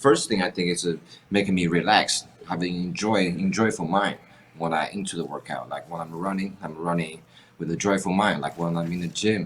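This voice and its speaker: This man has a strong Chinese accent and a very deep, low pitch. He speaks at a moderate pace with fairly even intonation. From China. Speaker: fitness influencer. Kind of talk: casual interview.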